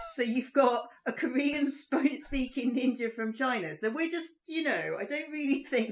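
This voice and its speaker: A woman talks in a high pitch with lively intonation. Her pace is fairly slow, with hardly any pauses. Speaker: podcast co-host. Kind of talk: casual chat.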